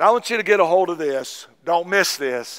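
Against a quiet background, a man with an Appalachian accent talks at a fairly high pitch in a bright, sharp tone, with ordinary pitch variation. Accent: Southern US (Appalachian). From US South, East Tennessee. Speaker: Baptist pastor. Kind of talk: Sunday morning sermon, exhorting congregation on tithing and giving. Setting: church service with congregation. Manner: fervent, punctuating with repeated amens; folksy, repetitive with verbal fillers. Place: church.

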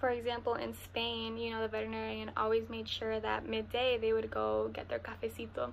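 Against light background noise, a woman speaks in a Spanish accent. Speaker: university student. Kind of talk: testimonial. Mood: warm, calm. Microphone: webcam.

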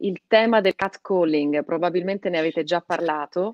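A woman's fairly low voice with ordinary pitch variation, dry with no echo, over a quiet background. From Piedmont, Italy (born in Calabria); Piedmont, Italy. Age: 30s. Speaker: radio host. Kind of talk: casual interview. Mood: warm, animated. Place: home room. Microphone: video call.

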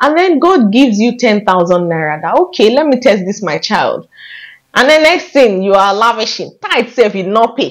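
A woman with a fairly high voice and an animated tone talks at a moderate pace, her pitch swinging very widely against a quiet background. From Nigeria. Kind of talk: faith-based vlog talk to camera. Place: home room. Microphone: lapel.

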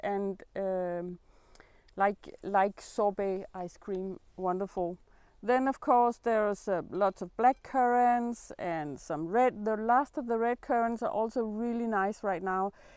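A woman speaks at a very slow pace against a quiet background, the sound dry with no echo. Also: ordinary pitch variation. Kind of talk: casual vlog chat. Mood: warm, grateful. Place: garden. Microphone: camera far.

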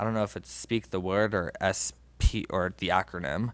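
A man is speaking in a dry recording with no echo. His pitch varies in an ordinary way. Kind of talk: reading announcements at a meeting. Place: meeting room. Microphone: podium.

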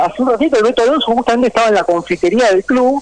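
With a Rioplatense accent, a man speaks at an extremely high pitch with lively intonation. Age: 30s. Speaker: sports journalist. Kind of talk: radio interview. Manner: articulate.

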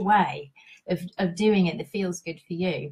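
Against a quiet background, a woman speaks at a fairly slow pace in a somewhat breathy voice with ordinary pitch variation. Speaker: intuitive guidance coach. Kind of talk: live stream talk. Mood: warm and cheerful. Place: home room. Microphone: headset.

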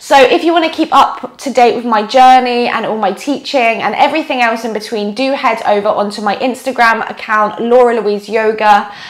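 With hardly any pauses, a woman speaks at a moderate pace and ordinary pitch variation. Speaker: yoga teacher. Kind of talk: casual vlog chat. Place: home room.

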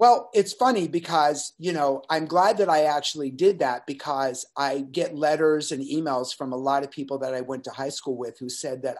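With hardly any pauses, a man talks at a moderate pace with ordinary pitch variation against a quiet background. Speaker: podcast guest. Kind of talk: interview answer. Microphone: webcam.

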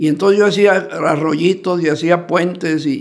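A man's fairly even intonation against a quiet background. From Mexico. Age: 80s+. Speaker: former football club president; guest. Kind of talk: interview. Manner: halting. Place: studio. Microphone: studio mic.

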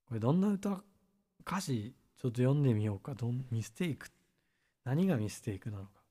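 At a fairly quick pace, this voice has big swings in loudness, very wide pitch swings, a somewhat breathy, dark, mellow and relaxed tone, and long, frequent pauses, all on a very clean recording with a silent background. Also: man, medium pitch for a man. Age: 30s. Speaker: musician. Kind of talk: casual chat. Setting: live stream.

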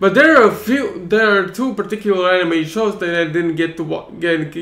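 The voice moves at a moderate pace with ordinary pitch variation, and audible room echo is present. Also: man. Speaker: vlogger. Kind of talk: casual vlog chat. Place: home room. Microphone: webcam.

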